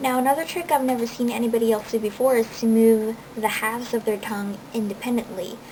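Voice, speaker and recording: A woman's fairly high voice at a very fast pace, with fairly even intonation, hardly any pauses and noticeable background noise. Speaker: body modification enthusiast. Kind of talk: casual talk to camera. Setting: home recording, low-quality camera audio.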